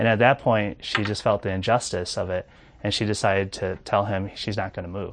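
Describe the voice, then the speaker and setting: At a fairly quick pace, a man with a fairly low voice speaks with fairly even intonation. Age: 40s. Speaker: pastor. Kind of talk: sermon. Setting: church prayer room, recorded without audience. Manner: hesitant, many filler words.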